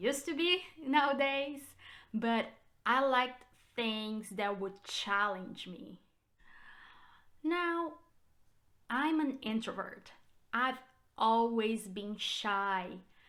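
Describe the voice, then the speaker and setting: Amid audible room echo, a woman with a Brazilian Portuguese accent speaks at a very slow pace with long, frequent pauses, her fairly high voice bright and sharp and her intonation lively. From Brazil, São Paulo state. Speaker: realtor. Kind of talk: personal vlog. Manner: hesitant with fillers.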